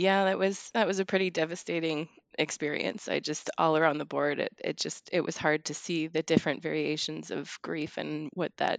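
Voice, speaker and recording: A woman talks at a moderate pace in a very deep, low voice with vocal fry and ordinary pitch variation. The background is quiet, and the sound is dry and close with no echo. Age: 30s. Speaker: bereaved daughter, small business owner. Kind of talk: personal testimony in interview. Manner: halting, frequent word repetitions.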